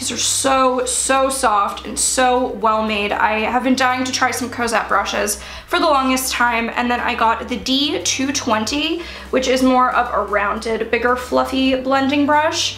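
In an American accent, a woman with a high pitch speaks at a fairly slow pace with fairly even intonation and hardly any pauses, over light background noise and audible room echo. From US Mid-Atlantic, Baltimore; Maryland. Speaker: beauty YouTuber. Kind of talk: product haul video.

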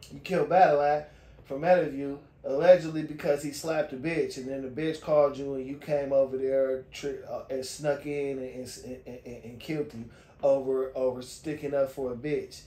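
A man at a moderate pace, flat and monotone, with audible room echo. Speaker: video reviewer. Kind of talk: commentary. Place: home room. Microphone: phone near.

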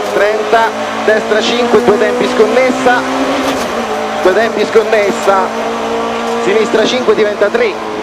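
Very slow speech with long, frequent pauses over loud background noise. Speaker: rally co-driver. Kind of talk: rally pace notes read out loud to the driver during a stage. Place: car. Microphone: helmet.

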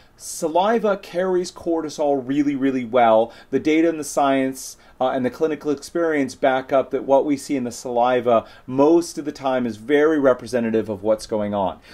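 A man's dark, mellow voice with ordinary pitch variation. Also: moderate pace. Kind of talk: educational explainer to camera. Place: office. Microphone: phone near.

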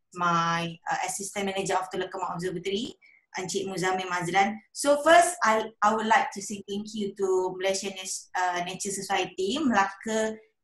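Audible echo from the room hangs around a woman as she talks. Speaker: guest. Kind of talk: presentation talk. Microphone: video call.

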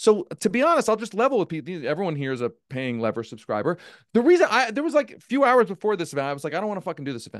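Very fast and animated, the voice takes very wide pitch swings and big swings in loudness over a quiet background. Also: man, high pitch for a man. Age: 40s. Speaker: political journalist and former campaign staffer; political journalist. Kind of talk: live virtual event discussion. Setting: video call. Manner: long-winded. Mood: frustrated, candid. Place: home room. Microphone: studio mic.

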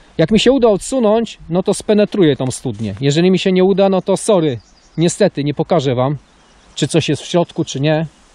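Lively intonation marks this man's speech at a moderate pace, recorded with a dry sound and no echo. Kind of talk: casual vlog commentary. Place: open country. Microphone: phone near.

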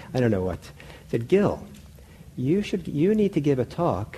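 A man at a moderate pace, with very wide pitch swings and light background noise. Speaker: meditation teacher. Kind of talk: lecture. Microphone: lapel.

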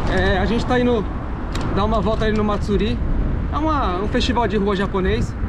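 Loud background noise fills the recording. A man speaks over it at a fairly quick pace. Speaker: vlogger. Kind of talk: casual vlog chat. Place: bicycle. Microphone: phone near.

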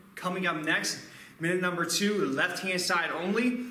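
Delivered at a moderate pace, the speech carries audible room echo and light background noise. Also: man. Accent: American. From Philadelphia, US. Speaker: kettlebell fitness instructor. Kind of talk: live follow-along workout coaching with timed countdown cues. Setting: gym or home studio, on camera. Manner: energetic hype-style motivator, punchy commands; casual, chatty asides between sets. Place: gym.

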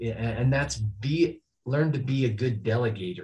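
This man's voice is somewhat breathy with a dark, mellow tone. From northern Utah, Oakley; Utah. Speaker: high school athletic director; podcast guest. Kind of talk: interview. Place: office.

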